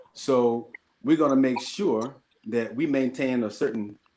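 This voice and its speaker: A Mississippi accent with ordinary pitch variation. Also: man. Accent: Southern US (Mississippi). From US South, southern Mississippi. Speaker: panelist. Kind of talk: panel discussion.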